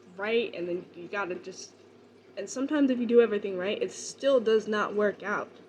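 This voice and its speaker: A woman's fairly high voice at a fairly quick pace, with ordinary pitch variation and big swings in loudness. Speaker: vlogger. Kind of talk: casual chat. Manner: hesitant, many fillers.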